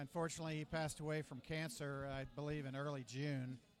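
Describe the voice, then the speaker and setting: With a fairly high pitch, this man moves along at a fairly quick pace. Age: 60s. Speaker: alumni booster club leader. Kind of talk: interview. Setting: restaurant. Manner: halting.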